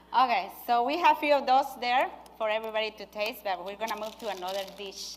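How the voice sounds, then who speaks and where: A woman with a non-native accent speaks fairly quickly, her intonation lively and her loudness swinging widely. Noticeable background noise can be heard. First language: not English. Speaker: nurse and cooking demonstrator. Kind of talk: cooking demonstration. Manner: halting.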